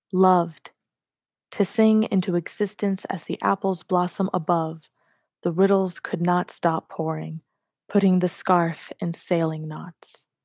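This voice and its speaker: A woman speaks at a fairly slow pace in a monotone, flat intonation. The recording is very clean with a silent background, and the sound is dry and close with no echo. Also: fairly low pitch for a woman. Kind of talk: poetry reading. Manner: gentle, soft-spoken.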